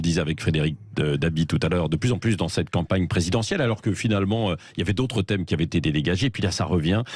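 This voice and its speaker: Fairly quick talk from a man, very deep and low in pitch, the pitch varying in an ordinary way. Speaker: radio host. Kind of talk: radio host interview questions.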